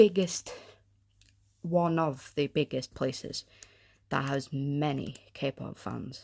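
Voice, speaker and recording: The speaker has a North Welsh accent. The sound is dry and close with no echo, in a very clean recording against a silent background. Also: woman. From North Wales (Anglesey). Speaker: podcaster. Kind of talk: casual monologue podcast. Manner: hesitant, many fillers.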